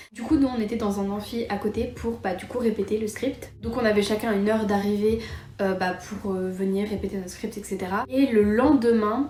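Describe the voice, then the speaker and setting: A woman with a fairly high voice keeps her intonation fairly even against noticeable background noise. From France, Metz area. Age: 20s. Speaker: YouTuber. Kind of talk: casual storytime vlog. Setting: home, cosy setup. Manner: fast; casual, many fillers.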